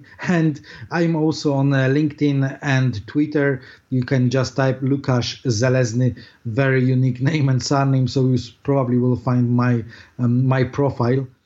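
With a Polish accent, a man of medium pitch speaks at a moderate pace in a monotone, flat intonation and very even loudness. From Poland. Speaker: SEO marketing director. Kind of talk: interview. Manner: hesitant, many fillers.

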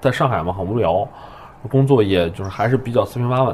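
Over noticeable background noise, a man talks at a very fast pace, his medium pitch showing ordinary variation. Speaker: improv comedian and teacher. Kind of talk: casual chat.

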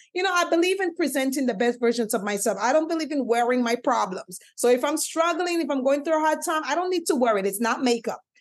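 A woman's high-pitched voice at a very fast pace, with lively intonation and hardly any pauses. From Caribbean island. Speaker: life coach and motivational speaker. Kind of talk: casual interview.

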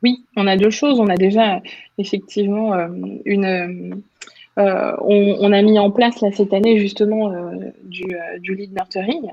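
Speaking at a fairly slow pace with long, frequent pauses, a woman of medium pitch keeps her intonation fairly even. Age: 30s. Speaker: communications manager. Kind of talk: interview conversation. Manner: hesitant, frequent filler.

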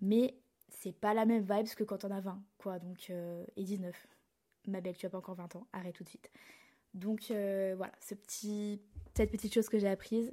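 Speaking at a moderate pace with long, frequent pauses, a woman keeps a medium pitch and a monotone, flat intonation while her loudness swings widely, all on a very clean recording with a silent background. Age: young. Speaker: podcast host. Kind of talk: solo podcast monologue.

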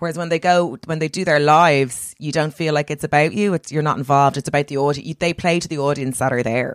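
With an Irish accent, a woman speaks at a very fast pace with hardly any pauses, her pitch very deep and low. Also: dry, close sound with no echo. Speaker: comedian. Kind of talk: casual chat. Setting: video call. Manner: animated.

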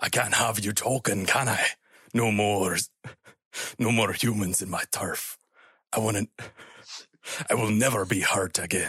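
A man's raspy, put-on character voice in a Scottish accent, fairly low in pitch, at a moderate pace with long, frequent pauses. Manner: snarling, menacing.

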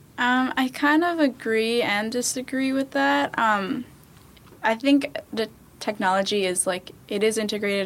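This speaker has an ordinary speaking voice with an American accent. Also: woman. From New York City, Queens. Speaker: former youth tech program participant. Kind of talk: casual chat.

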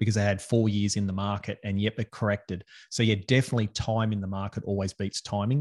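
At a fairly quick pace, a man with a fairly low pitch speaks with an Australian accent. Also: very clean recording, silent background. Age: 40s. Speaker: financial advisor. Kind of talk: casual interview chat.

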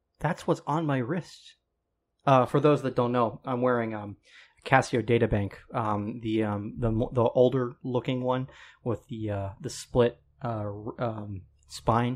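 At a fairly slow pace, a man with an American accent and an unremarkable speaking voice talks at a medium pitch with ordinary pitch variation, in a very clean recording with a silent background. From Colorado, US. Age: 20s. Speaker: podcast guest. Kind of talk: casual chat.

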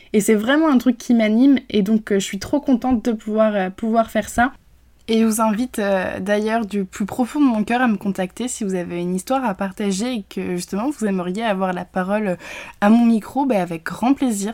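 In a very clean recording with a silent background, a woman talks in a fairly high voice with a dark, mellow tone. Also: ordinary pitch variation, moderate pace. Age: 20s. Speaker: podcast host. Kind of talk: personal testimony. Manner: halting.

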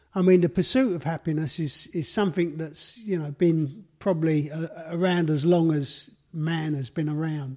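The voice has a Cockney accent and a dark, mellow tone with ordinary pitch variation. It keeps a moderate pace with hardly any pauses. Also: man, fairly high pitch for a man. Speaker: podcast host. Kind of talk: casual chat.

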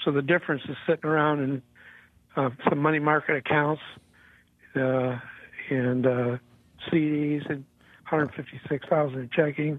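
A man with a fairly high pitch talks at a moderate pace in a flat monotone, leaving long, frequent pauses. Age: 70s. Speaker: caller. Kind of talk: radio call-in question. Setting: phone call.

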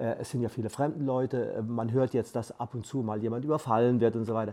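Speaking at a fairly quick pace, a man uses a medium pitch, a dark, mellow tone and fairly even intonation. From Palatinate, Germany. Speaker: aid volunteer, retired teacher. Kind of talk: interview. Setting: studio.

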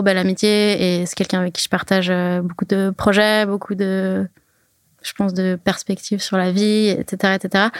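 A woman talks at a medium pitch and a fairly slow pace, her intonation flat and monotone. The sound is dry and close, with no echo. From French-speaking Switzerland (Lausanne, Verbier). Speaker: freeride skier. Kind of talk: casual interview. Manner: halting, many fillers and repetitions.

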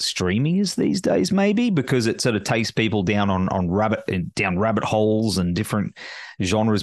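Against a quiet background, a man speaks with an Australian accent. His pitch is fairly low and his pace moderate. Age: 40s. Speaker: podcast host. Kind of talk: casual interview chat.

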